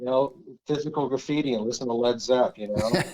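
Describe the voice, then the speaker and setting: The pace is moderate, with ordinary pitch variation. It is an ordinary speaking voice. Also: man. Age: 60s. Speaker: fly fishing guide. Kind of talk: casual chat.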